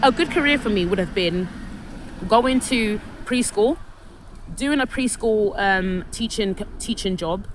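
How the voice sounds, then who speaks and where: A woman with a London accent speaks at a fairly high pitch and a fairly slow pace, with lively intonation. Her speech has long, frequent pauses, and background noise is noticeable. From London, England. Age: 30s. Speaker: vlogger telling personal story. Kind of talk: personal testimony monologue. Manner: halting, many false starts and repetitions.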